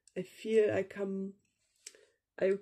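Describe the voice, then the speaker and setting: A woman with a German accent speaks at a very slow pace in a monotone, flat intonation, her tone dark and mellow. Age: young. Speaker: vlogger, meditation practitioner. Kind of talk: personal vlog monologue, unscripted. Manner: hesitant, with fillers.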